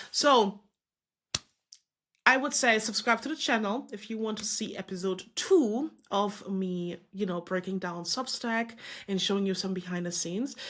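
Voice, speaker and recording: With a non-native accent, a woman speaks at a moderate pace and medium pitch. Her tone is animated, with ordinary pitch variation. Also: very clean recording, silent background. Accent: non-native English speaker. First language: not English. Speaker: business coach and content creator. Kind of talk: screen-share tutorial; motivational pep talk. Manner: casual, animated; halting with self-corrections.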